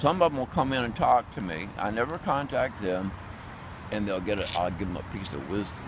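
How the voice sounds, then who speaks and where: Over noticeable background noise and audible room echo, a man speaks in a fairly low pitch with lively intonation. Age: 70s. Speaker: homeless street performer. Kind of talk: casual chat. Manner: animated; halting.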